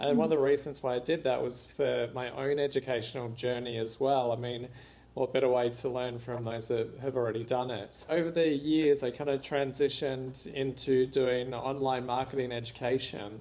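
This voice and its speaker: A man in a strong Australian accent, medium in pitch and dark and mellow in tone, at a moderate pace with fairly even intonation and hardly any pauses. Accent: Australian accent, still strong. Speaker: entrepreneur and author. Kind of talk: interview.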